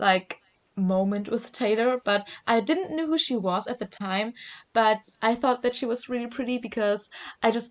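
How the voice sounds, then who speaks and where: Over a quiet background, a woman with a German accent talks at a moderate pace with a fairly high pitch and ordinary pitch variation. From Germany. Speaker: podcast co-host. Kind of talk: casual chat. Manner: hesitant, many fillers.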